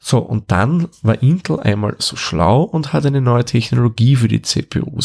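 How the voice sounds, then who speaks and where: This voice has an Austrian accent and lively intonation at a moderate pace. The sound is dry and close, with no echo. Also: man. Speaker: tech podcast host. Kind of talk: explanatory tutorial.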